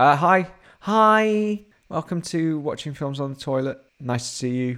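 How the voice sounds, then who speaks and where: A man with a British accent speaks at a fairly slow pace, his fairly high voice moving with lively intonation. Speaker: podcast co-host. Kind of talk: casual chat. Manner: animated.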